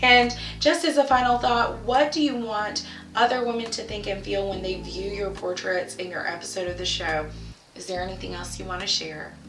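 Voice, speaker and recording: Over noticeable background noise and audible room echo, a woman at a medium pitch speaks at a moderate pace with lively intonation and big swings in loudness. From South Carolina. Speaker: boudoir photographer, show host. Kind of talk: presenting, reading out guest's answers.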